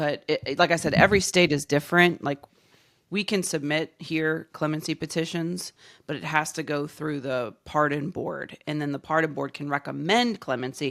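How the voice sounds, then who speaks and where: A woman speaks at a moderate pace in a very deep, low voice with vocal fry and ordinary pitch variation. The recording is very clean, with a silent background. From Louisiana, New Orleans. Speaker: podcast host. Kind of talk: casual chat.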